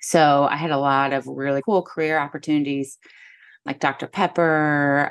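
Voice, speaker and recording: Against a quiet background, a woman with a Midwestern American accent speaks at a very deep, low pitch with fairly even intonation. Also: moderate pace. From US Midwest, northern Missouri. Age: 40s. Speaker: photographer and podcaster. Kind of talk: casual interview chat.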